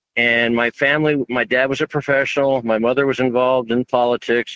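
Speaking with an American accent, a man uses a medium pitch and monotone, flat intonation. His pace is fairly quick, with hardly any pauses. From US Southwest. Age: 70s. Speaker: caller. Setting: phone call.

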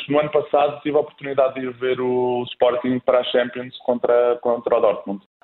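This man speaks at a fairly quick pace with a fairly high pitch. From Spain, raised in Coimbra, Portugal from age 10. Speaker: bank supervisor. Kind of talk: casual interview.

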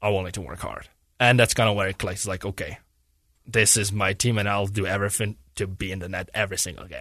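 A man with a Czech accent talks at a very fast pace in a fairly low pitch and a bright, sharp tone. His intonation stays fairly even over a quiet background. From Czech Republic, near Prague. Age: 20s. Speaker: professional hockey goalie. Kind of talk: casual interview. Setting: studio.

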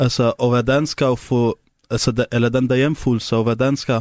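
In a very clean recording with a silent background and a dry, close sound with no echo, a man speaks with an Arabic accent at a moderate pace. His pitch is medium and his intonation fairly even. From Syria. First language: Arabic (speaking Danish). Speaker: taxi driver. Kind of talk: interview. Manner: halting.

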